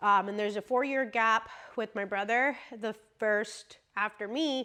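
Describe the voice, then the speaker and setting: A woman's bright, sharp tone at a fairly high pitch, fairly slow pace and ordinary pitch variation. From US, Mexican family. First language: Spanish. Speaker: vlogger. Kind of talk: casual chat. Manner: conversational, many fillers.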